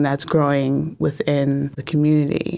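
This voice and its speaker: A woman speaks in an American accent with a very deep, low pitch. Her intonation stays monotone and flat. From New Haven, Connecticut, US. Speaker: vegan restaurant owner. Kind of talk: interview.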